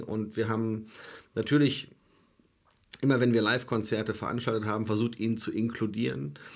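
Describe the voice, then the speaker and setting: A man's unremarkable speaking voice, medium in pitch, with fairly even intonation. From Germany. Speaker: soul festival promoter. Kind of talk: casual chat. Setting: studio.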